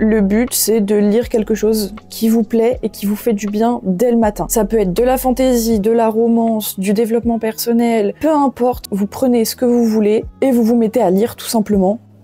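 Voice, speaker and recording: With hardly any pauses, a woman talks at a moderate pace in a fairly high, monotone, flat voice. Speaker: vlogger. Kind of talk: tutorial.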